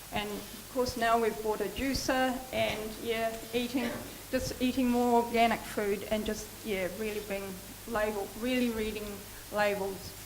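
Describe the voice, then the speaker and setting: A woman speaks at a fairly slow pace and a fairly high pitch, with monotone, flat intonation. Noticeable background noise and audible room echo are present. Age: 60s. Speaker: melanoma patient and social worker. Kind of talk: personal testimony talk. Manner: halting, many fillers.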